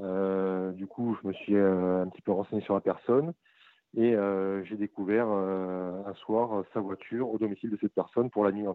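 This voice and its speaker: At a moderate pace, a man with a fairly low pitch and fairly even intonation speaks in an unremarkable speaking voice. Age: 30s. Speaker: caller. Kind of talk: phone consultation. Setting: phone call.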